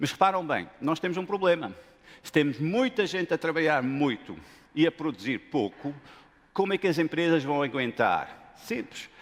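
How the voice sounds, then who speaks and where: With a non-native accent, a man speaks at a moderate pace and a fairly high pitch, his tone animated and his intonation lively. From Lebanon / Denmark. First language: not Portuguese (speaking Portuguese). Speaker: business school professor. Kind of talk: conference talk.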